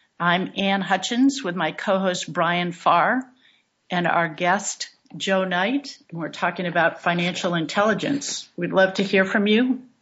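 In an ordinary speaking voice, a woman speaks fairly slowly at a medium pitch with ordinary pitch variation. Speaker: radio host. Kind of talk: radio talk show hosting.

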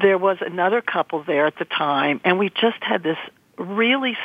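With an American accent and a normal speaking voice, a woman speaks at a medium pitch with lively intonation. Her pace is fairly slow. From New York area. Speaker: guest co-host, former creative director. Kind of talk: casual chat.

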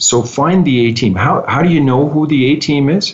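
With a Canadian accent, a man speaks in a somewhat breathy voice with lively intonation. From Ontario, Canada (Muskoka). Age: 50s. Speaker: real estate executive. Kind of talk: interview.

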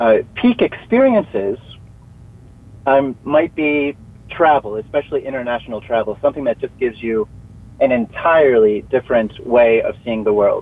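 A man speaks in a normal speaking voice at a medium pitch. His pace is moderate, with ordinary pitch variation. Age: 30s. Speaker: self-help coach and entrepreneur. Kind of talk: interview. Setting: phone call.

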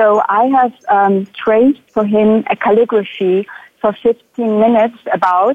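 With a German accent, a woman speaks in a fairly high pitch and with fairly even intonation. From Germany. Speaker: psychologist. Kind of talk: testimony. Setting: remote call-in.

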